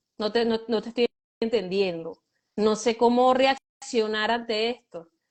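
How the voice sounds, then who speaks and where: A woman speaks at a fairly slow pace. Her voice is fairly high, with fairly even intonation. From Venezuela. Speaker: guest, runs a shelter for girls. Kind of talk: interview.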